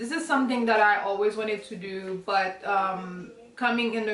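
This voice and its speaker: Over noticeable background noise and audible room echo, a woman with a Haitian accent speaks at a moderate pace in a fairly high pitch. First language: Haitian Creole. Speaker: student and vlogger. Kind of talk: casual Q&A vlog. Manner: halting, searching for words.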